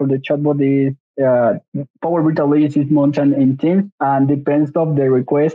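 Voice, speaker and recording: With a Spanish accent, a man speaks at a fairly high pitch. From Mexico. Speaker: software engineering intern. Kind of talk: tech demo. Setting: video call. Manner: halting.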